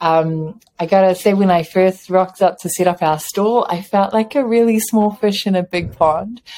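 Dark, mellow tone in a New Zealand accent, with ordinary pitch variation. The pace is moderate, with hardly any pauses. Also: woman, medium pitch for a woman. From New Zealand, Samoan family. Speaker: chocolate entrepreneur and dance teacher. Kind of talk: casual interview.

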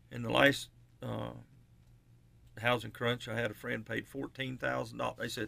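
The recording is very clean, with a silent background. A man speaks at a moderate pace with an Appalachian accent. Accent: Southern US, Appalachian. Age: 60s. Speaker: radio show co-host, home builder. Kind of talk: casual radio chat.

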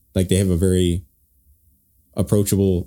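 On a very clean recording with a silent background, the voice has a dark, mellow tone and monotone, flat intonation. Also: man. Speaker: podcast host. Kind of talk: casual chat.

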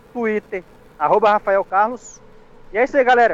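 The speech moves at a moderate pace. The sound is dry and close with no echo, though noticeable background noise is present. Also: man. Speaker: comedy web radio co-host. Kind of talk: comedy news bits.

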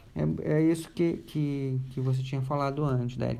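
Audible room echo surrounds a man speaking at a moderate pace and medium pitch, his tone dark and mellow and his intonation fairly even. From Rio de Janeiro, Brazil. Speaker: human rights organization worker, environmental activist. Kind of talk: casual interview chat. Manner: halting, many fillers.

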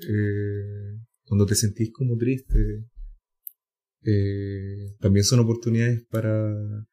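A man's fairly low, dark, mellow and somewhat breathy voice in a Chilean accent, monotone and flat, very slow with long, frequent pauses. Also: very clean recording, silent background. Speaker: podcast host. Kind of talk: casual chat.

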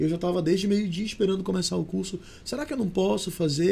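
His voice is pitched high. The tone, though, is dark and mellow. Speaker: singer and actor. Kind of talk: casual chat. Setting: studio.

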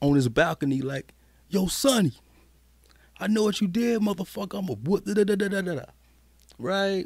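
Lively intonation from a man with an American accent, at a moderate pace. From South Carolina. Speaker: music producer. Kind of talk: casual interview chat. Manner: laid-back, slangy.

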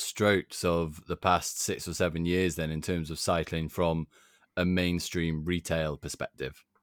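Recorded very cleanly against a silent background, a man speaks at a fairly slow pace in a dry, close sound with no echo. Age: 20s. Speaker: podcast host. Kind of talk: casual chat.

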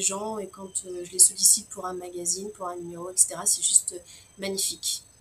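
There is noticeable background noise as a woman speaks at a very slow pace. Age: 40s. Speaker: naturopath. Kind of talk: interview. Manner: spontaneous, outspoken; hesitant, many fillers. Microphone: sound problems in the first minutes.

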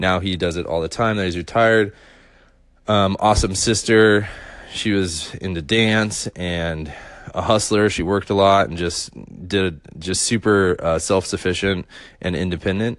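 The man talks at a moderate pace with fairly even intonation and a fairly low pitch. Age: 30s. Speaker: designer and illustrator podcaster. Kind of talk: personal storytelling monologue.

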